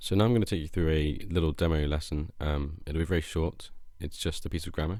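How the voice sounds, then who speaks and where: A man's very deep, low voice with a British accent, a dark, mellow tone, fairly even intonation and a very fast pace. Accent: RP. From England, Shropshire. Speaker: English teacher. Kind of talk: self-introduction. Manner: hesitant, many fillers.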